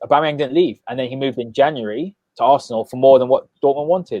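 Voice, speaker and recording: A man with a London accent and fairly high pitch. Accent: non-Mancunian, London. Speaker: football podcast host. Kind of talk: casual podcast discussion. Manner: animated.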